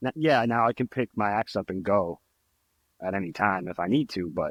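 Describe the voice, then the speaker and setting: Recorded very cleanly against a silent background, with a dry, close sound and no echo, a man talks in an unremarkable speaking voice at a fairly low pitch with ordinary pitch variation. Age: 30s. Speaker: trumpet player. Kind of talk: casual chat.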